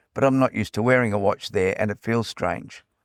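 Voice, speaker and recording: In a very clean recording with a silent background and a dry, close sound with no echo, a man with an Australian accent talks at a medium pitch with ordinary pitch variation. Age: old. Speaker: podcast host. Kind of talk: podcast narration. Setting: portable recording.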